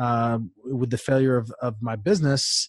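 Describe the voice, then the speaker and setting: The man sounds somewhat breathy, dry with no echo, over a quiet background. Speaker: podcast guest. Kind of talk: interview answer. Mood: reflective, earnest. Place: studio. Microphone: studio mic.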